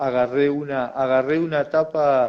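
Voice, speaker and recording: Here a man speaks at a very slow pace. His pitch is fairly high, and his intonation is fairly even. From Uruguay. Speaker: former footballer. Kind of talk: interview. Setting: video call. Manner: halting.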